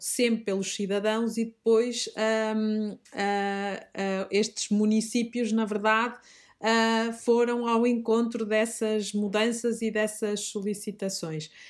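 In a very clean recording with a silent background, a woman speaks very slowly in a flat, monotone delivery. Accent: Minho. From northern Portugal, Minho (Braga district). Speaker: teacher and organic grocery shop owner. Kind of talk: interview. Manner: hesitant, with fillers and repetitions.

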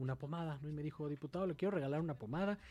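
The man's voice has a dark, mellow tone. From Mexico City. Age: 30s. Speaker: politician. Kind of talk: radio interview.

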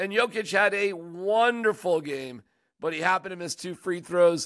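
At a high pitch, a man with an American accent speaks at a moderate pace with ordinary pitch variation on a very clean recording with a silent background. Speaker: sports podcast host. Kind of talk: casual chat. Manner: animated.

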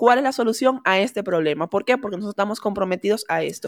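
Recorded very cleanly against a silent background, a woman speaks at a fairly high pitch with a dry, close sound and no echo. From Venezuela. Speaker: immigrant entrepreneur. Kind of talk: casual chat. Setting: studio.

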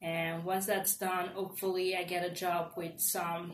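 A woman's somewhat breathy, fairly low voice in a monotone, flat intonation. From Nigeria, moved to Evanston, Illinois at 14. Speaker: engineering student. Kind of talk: casual interview.

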